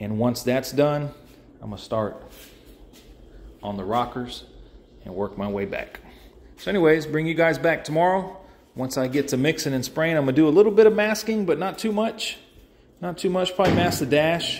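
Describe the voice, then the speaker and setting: Amid light background noise, a man talks at a moderate pace with very wide pitch swings and long, frequent pauses. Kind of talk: casual vlog chat. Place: workshop. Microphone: phone near.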